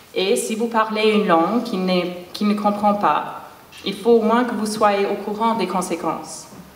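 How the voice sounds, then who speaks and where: A woman at medium pitch with a non-native accent, fairly even intonation and a fairly slow pace, over noticeable background noise. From English-speaking Canada. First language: English (speaking French). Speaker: performance artist. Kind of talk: spoken word performance.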